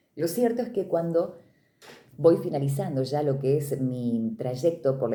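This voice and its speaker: A woman's very deep, low voice with a dark, mellow, somewhat breathy tone, lively intonation, a moderate pace and audible room echo. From Argentina, Córdoba province (Río Cuarto). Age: 40s. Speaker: radio announcer and literature teacher. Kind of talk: interview testimony. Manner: clear, practiced announcer delivery.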